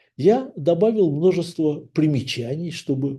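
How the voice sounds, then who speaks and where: The man speaks at a very slow pace with a dark, mellow tone. His voice is somewhat breathy, with ordinary pitch variation. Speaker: author. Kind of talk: book introduction. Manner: formal.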